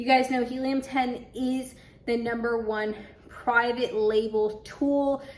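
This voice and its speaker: Over noticeable background noise, the speech comes very slowly in a monotone, flat intonation. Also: woman, high pitch for a woman. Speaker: Amazon seller and YouTube tutorial creator. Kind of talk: screen-share tutorial.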